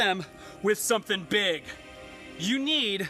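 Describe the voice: What we hear is plain reading aloud.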